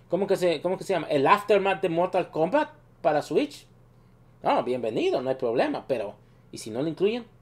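A man's high voice swings very widely in pitch as he talks at a moderate pace. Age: 30s. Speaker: gaming youtuber. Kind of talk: video commentary. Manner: halting, many fillers.

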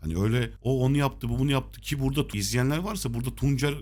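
A man at a very fast pace, with hardly any pauses and very even loudness. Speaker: horse racing tipster. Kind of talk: tutorial.

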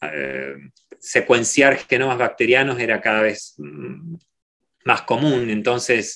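With vocal fry and a bright, sharp tone, a man talks at a very slow pace with long, frequent pauses and ordinary pitch variation against a quiet background. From Argentina, Rosario; Argentina. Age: 40s. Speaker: microbiology professor; guest. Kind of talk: Q&A talk; interview answer. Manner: halting, many repeated words. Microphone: video call.

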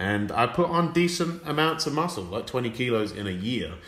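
This is a man speaking. He has an English accent. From England. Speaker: fitness coach. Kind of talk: casual chat.

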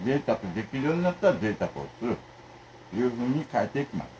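Over light background noise, a man speaks very fast with lively intonation. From Japan. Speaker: food vlogger. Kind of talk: casual eating video monologue. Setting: home. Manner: casual, rambling. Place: home room. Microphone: phone near.

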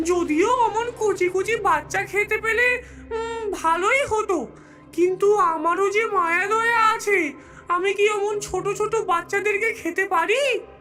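A cartoonish character voice with a theatrical tone moves at a fairly slow pace over clear background noise. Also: female-sounding voice, extremely high pitch for a woman. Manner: cackling, theatrical.

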